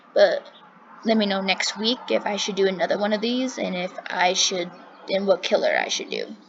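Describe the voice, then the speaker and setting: Noticeable background noise beneath a woman's fairly high-pitched speech. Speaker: true crime channel host. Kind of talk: reading aloud. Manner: fast; animated.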